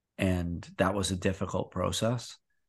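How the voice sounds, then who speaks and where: In a Canadian accent, a man speaks with a very deep, low pitch against a quiet background. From Canada. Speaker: former Olympic figure skater, coach and retreat host. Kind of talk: casual interview chat.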